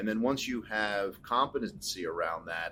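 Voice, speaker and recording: A man with an American accent talks at a moderate pace in a fairly low pitch. He has a normal speaking voice. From California. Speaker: podcast host. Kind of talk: interview.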